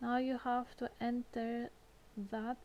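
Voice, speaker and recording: A woman's high-pitched voice at a very slow pace. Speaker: gamer giving game walkthrough. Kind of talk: game tutorial voice-over.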